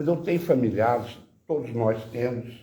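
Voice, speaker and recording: In a room with audible echo, a man talks at a fairly slow pace, his somewhat breathy voice dark and mellow with ordinary pitch variation. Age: 80s+. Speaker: audience member asking questions. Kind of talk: Q&A discussion.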